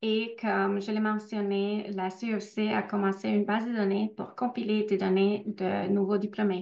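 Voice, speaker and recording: A woman with a non-native accent and a medium pitch speaks at a fairly slow pace in a monotone, flat intonation with hardly any pauses. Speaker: researcher. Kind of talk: webinar Q&A. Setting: online webinar. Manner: hesitant, many fillers.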